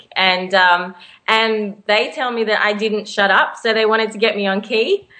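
Delivery here is fairly slow. It carries an Australian accent. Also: woman. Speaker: singer. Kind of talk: casual interview.

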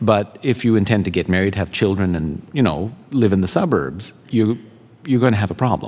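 A man with a Canadian accent speaks at a moderate pace in an unremarkable speaking voice. His pitch is fairly low and his intonation lively. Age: 50s. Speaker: composer and composition teacher. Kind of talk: interview. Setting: venue lobby with small live audience.

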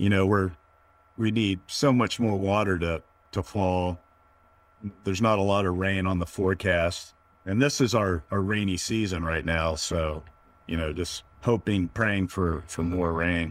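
A fairly slow pace in an American accent. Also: man, very deep, low pitch for a man, fairly even intonation. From US, Northern Virginia. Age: 50s. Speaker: entrepreneur, vertical farming startup founder. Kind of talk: interview conversation.

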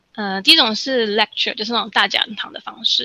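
This is a woman talking. Her voice is fairly high-pitched, with a bright, sharp tone. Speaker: study-abroad consultant. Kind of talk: casual interview chat.

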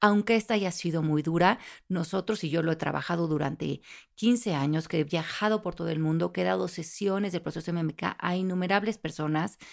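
On a very clean recording with a silent background, a plain, everyday voice moves at a fairly quick pace with ordinary pitch variation. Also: woman, fairly low pitch for a woman. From Mexico. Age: 50s. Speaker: life coach and author. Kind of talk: interview conversation.

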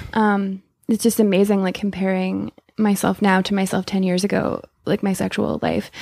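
On a very clean recording with a silent background, a woman with a Canadian accent speaks at medium pitch in a flat, monotone way. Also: moderate pace. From Saskatchewan, Canada. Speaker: polyamorous guest. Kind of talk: casual chat. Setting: recorded in person.

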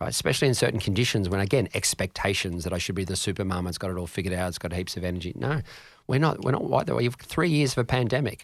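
On a very clean recording with a silent background, a man with a fairly low pitch and an Australian accent talks at a very fast pace with lively intonation. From Australia, Canberra. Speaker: mindset coach. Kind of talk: interview answering listener questions.

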